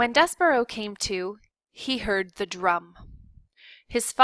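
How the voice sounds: In a natural reading voice with ordinary pitch variation, the speaker talks over a quiet background.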